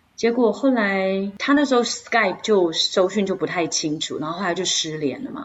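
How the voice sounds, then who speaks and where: A woman speaks in a Taiwanese accent at a medium pitch with lively intonation. Her pace is moderate, with hardly any pauses. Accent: Taiwanese Mandarin. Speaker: podcast co-host. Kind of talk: casual chat.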